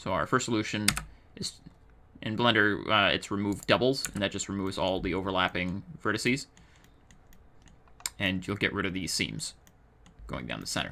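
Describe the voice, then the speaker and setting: Long, frequent pauses break up a man's fairly low voice, which has vocal fry, a bright, sharp tone and ordinary pitch variation. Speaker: 3D artist. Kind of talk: software tutorial narration. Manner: slow.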